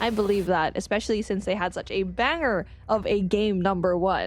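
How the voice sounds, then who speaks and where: Music plays in the background as a woman with a Filipino accent talks in an animated tone. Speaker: livestream host. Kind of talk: live commentary.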